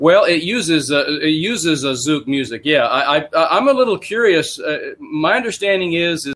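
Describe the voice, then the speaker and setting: Someone talks with an American accent at a moderate pace. The intonation is lively. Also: man, high pitch for a man. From Texas. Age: 70s. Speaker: podcast host and MLM writer. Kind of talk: interview.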